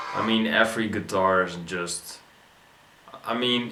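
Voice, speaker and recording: A man with a non-native accent speaks with ordinary pitch variation. Audible room echo and noticeable background noise are present. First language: not English. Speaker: YouTube reaction video host. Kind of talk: casual video reaction commentary. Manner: halting, many fillers and restarts.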